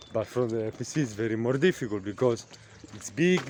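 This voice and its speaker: The man's pitch varies in an ordinary way. Background noise can clearly be heard. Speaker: vlogger. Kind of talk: casual vlog monologue. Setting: outdoors by a lake. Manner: halting, many fillers and repetitions.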